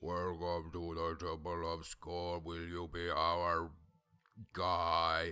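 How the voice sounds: Putting on a character voice, a man speaks very slowly in a very deep, low pitch with flat, monotone intonation.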